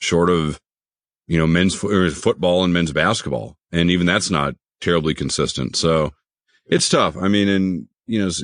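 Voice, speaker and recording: Over a quiet background, a man talks in a very deep, low pitch with vocal fry and ordinary pitch variation. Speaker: voice-over artist and baseball announcer. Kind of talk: podcast interview answer.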